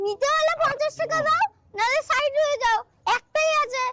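Delivered at a moderate pace, a put-on character voice reaches an extremely high pitch. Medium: voice reel. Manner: loud, repetitive, pushy.

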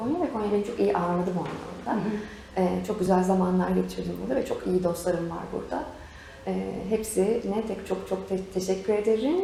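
There is noticeable background noise behind this woman. She talks at a fairly quick pace. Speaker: voice actor and program host. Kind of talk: interview answer.

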